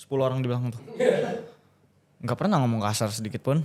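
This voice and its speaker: A man speaks at a medium pitch. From Jakarta, Indonesia. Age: 20s. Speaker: influencer boxer. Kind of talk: casual chat.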